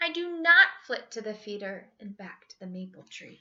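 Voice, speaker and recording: A woman performs a put-on character voice at a fairly high pitch with very wide pitch swings. Her pace is moderate. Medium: read story.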